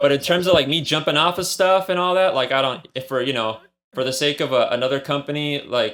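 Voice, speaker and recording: In an American accent, a man talks at a fairly quick pace with a plain, everyday voice. His pitch is fairly high, with ordinary variation. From Imperial Valley, California (Mexicali border area). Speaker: comic book writer. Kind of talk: casual interview.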